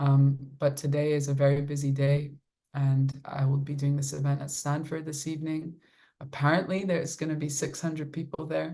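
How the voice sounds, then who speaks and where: In a very deep, low voice with a dark, mellow tone, a woman speaks somewhat breathily at a moderate pace with monotone, flat intonation. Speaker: kirtan singer and violinist. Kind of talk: casual talk with supporters, answering questions. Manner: warm, conversational with fillers.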